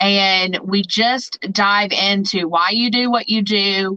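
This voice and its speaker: Her intonation fairly even, a woman with an American accent speaks in a medium pitch. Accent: twang. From Southern Indiana. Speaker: photographer and branding business owner. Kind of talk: podcast interview.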